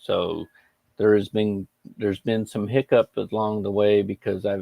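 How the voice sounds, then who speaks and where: Monotone, flat intonation comes with an American accent, and the sound is dry and close with no echo. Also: man. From Texas. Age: 60s. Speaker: game streamer. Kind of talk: casual livestream chat. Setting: live stream. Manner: halting, with frequent restarts.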